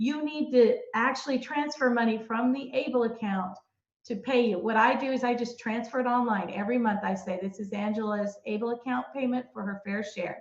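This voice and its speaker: At a fairly quick pace, a woman talks in a plain, everyday voice, fairly high in pitch with ordinary pitch variation. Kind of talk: webinar presentation.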